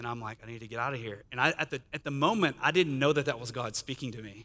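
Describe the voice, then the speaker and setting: Speaking at a very fast pace, a man has a bright, sharp tone on a very clean recording with a silent background. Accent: Texan. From Northeast Texas, Sulphur Springs. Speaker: guest speaker. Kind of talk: testimony.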